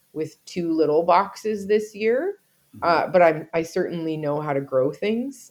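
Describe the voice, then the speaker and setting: This woman has a normal speaking voice, pitched fairly low, with ordinary pitch variation. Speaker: podcast co-host. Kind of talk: casual chat.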